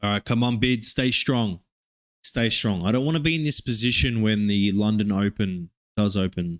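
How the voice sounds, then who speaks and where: The speaker has an animated tone, ordinary pitch variation and very even loudness at a moderate pace. The recording is very clean with a silent background, and the sound is dry and close with no echo. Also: man, fairly low pitch for a man. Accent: Australian. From Australia. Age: 20s. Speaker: day trader streamer. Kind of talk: live trading stream commentary. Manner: casual, animated.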